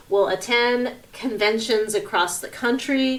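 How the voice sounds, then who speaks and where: Against noticeable background noise, a woman with an American accent speaks in a fairly high voice. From US West Coast, San Francisco Bay Area. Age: 30s. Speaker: podcast host. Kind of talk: solo personal podcast monologue. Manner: casual with frequent fillers (um, uh).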